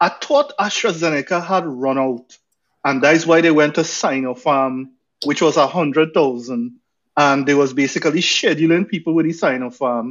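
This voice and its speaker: At a moderate pace, a man with a Trinidadian accent speaks in a fairly high pitch with ordinary pitch variation. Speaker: podcast co-host. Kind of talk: casual chat and panel discussion.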